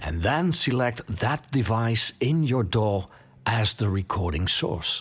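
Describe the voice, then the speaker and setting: Over music in the background, a man with a Dutch accent talks very slowly in a fairly low voice that makes very wide pitch swings. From Netherlands. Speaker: podcast host. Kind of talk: tutorial. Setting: home studio. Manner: casual, with hesitations.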